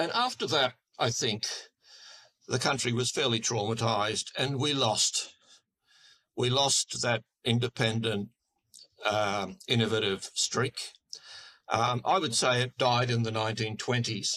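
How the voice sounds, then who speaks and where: With an Australian accent and a bright, sharp tone, a man speaks at a medium pitch and a fairly slow pace, his intonation fairly even, his loudness very even, with long, frequent pauses. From Queensland, Australia. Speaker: political commentator. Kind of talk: interview. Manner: halting, with repeated words.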